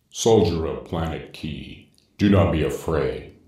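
Using a put-on character voice, a man speaks at a very deep, low pitch and a fairly slow pace, with a slight echo. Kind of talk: movie trailer narration. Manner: slow, solemn.

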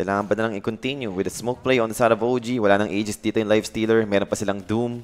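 A man's fairly low voice, very fast and animated. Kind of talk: esports commentary. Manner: animated, fast play-by-play, mixing English and Tagalog.

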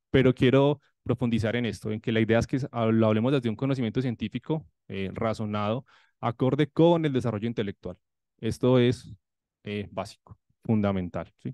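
A man speaks at a moderate pace with a medium pitch and ordinary pitch variation. His tone is dark and mellow, with a dry, close sound and no echo. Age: 30s. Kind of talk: conference presentation.

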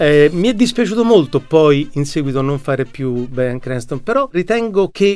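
A man's fairly high voice with very wide pitch swings. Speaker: voice actor. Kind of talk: interview answer. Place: studio. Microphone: studio mic.

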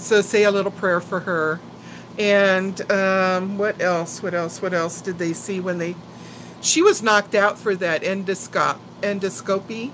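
A woman at a fairly slow pace and medium pitch, over light background noise. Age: 60s. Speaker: YouTuber. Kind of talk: live stream chat. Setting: home live stream. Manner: animated. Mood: chatty, gossipy, concerned. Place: home room. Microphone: phone near.

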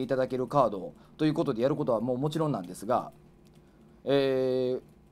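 The speaker is a man going at a very fast pace. His pitch shifts in an ordinary way. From Osaka, Kansai; Japan. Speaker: pro wrestling referee, former comedian; former comedian. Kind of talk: press conference announcement. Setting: office, live stream. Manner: formal. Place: office.

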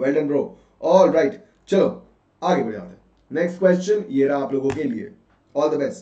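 Pitch swings very widely in this animated, vocal-fried delivery at a moderate pace, with audible room echo. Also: man. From India. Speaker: online English teacher. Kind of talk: live online class with quiz. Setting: live online session. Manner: animated, code-switching Hindi and English.

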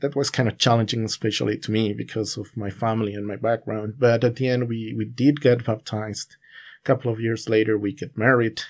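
A man speaks in a Spanish accent at a medium pitch. His pace is fairly quick, with hardly any pauses. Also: very clean recording, silent background. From Bolivia, La Paz. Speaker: Bible student sharing testimony. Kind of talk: casual interview.

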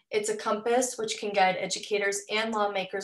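A woman speaks in a monotone, flat way. Room echo is audible, though the background is quiet. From Southeast Missouri. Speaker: teacher and PhD candidate. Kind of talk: webinar presentation. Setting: video call. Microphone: video call.

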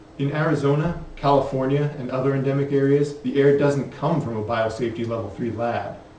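With light background noise and audible room echo, a man talks at a fairly quick pace in a fairly high pitch. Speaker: health advocate presenter. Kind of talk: educational film narration. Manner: grave, urgent, formal; steady, measured, authoritative. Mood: serious, urgent warning. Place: studio.

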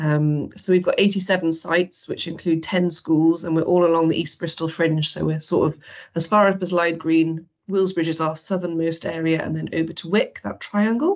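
Against a quiet background, a woman with a plain, everyday voice speaks at a moderate pace, fairly low in pitch and fairly even in intonation. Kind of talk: online community talk. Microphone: video call.

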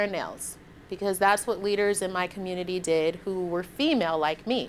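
A woman speaks with an American accent. Light background noise is present. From Detroit, Michigan, US; Michigan. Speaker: physician and public health professor; public health professor. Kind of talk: lecture. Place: meeting room.

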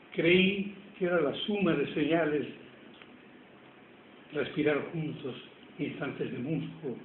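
A man speaks at a very slow pace with ordinary pitch variation. Light background noise and audible room echo fill the recording. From Tucumán, Argentina. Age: 90s. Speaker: poet. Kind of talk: poetry reading. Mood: tender, solemn. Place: home room. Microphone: phone near.

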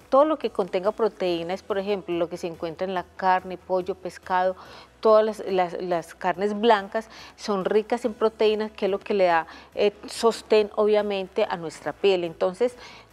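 With faint music in the background, the speaker goes at a fairly slow pace with ordinary pitch variation. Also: woman. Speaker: TV guest. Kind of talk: interview answer. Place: studio.

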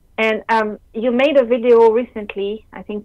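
A French accent with fairly even intonation. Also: woman. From France. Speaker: caller. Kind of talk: Q&A call-in question.

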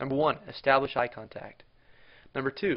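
Speaking at a moderate pace and a medium pitch, this man has a plain, everyday voice. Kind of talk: tutorial.

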